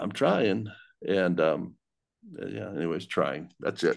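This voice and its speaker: A man's fairly low voice with vocal fry and an American accent, at a very slow pace against a quiet background. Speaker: podcast host. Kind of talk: casual chat. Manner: halting, many filler words. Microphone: crackling audio from cable.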